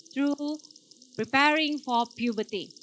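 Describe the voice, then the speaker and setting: Over noticeable background noise, a woman with a Malaysian accent talks at a moderate pace with ordinary pitch variation. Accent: Malaysian Malay. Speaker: doctor. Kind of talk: talk to audience. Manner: code-switching with fillers.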